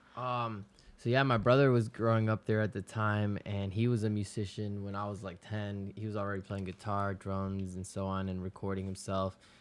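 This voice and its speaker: With a Spanish accent, a man speaks in a fairly low pitch and a flat, monotone delivery at a moderate pace, hardly pausing, on a very clean recording with a silent background. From Florida, West Palm Beach (born in Ecuador). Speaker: music producer. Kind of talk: casual chat.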